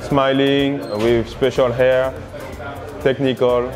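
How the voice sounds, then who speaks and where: A man talks at a fairly slow pace while clear music plays in the background. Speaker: guest. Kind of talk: interview answer. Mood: warm, reflective. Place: cafe. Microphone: lapel.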